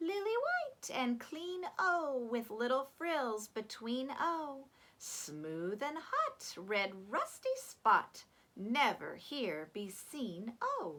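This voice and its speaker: A woman uses a put-on character voice pitched high. She speaks at a very slow pace. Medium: read story. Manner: polite, humble.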